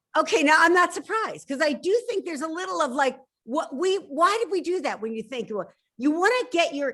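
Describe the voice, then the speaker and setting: Fairly quick speech in a Philadelphia accent, with very wide pitch swings. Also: woman. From Philadelphia, US. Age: 60s. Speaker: novelist. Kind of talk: interview.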